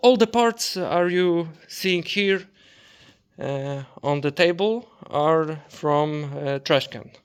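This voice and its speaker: In a very clean recording with a silent background, a man with a non-native accent speaks very slowly in a fairly high voice with lively intonation. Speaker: hobby woodworker. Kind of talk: casual workshop vlog talk. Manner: halting, many fillers and repetitions.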